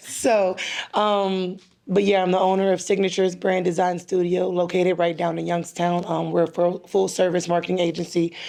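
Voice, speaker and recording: Her tone is dark and mellow, with a fairly low pitch. This woman speaks in a monotone, flat way. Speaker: business owner. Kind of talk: roundtable discussion. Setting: roundtable in a hotel. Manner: fast.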